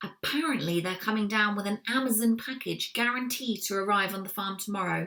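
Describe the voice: The pitch varies in an ordinary way during plain reading aloud.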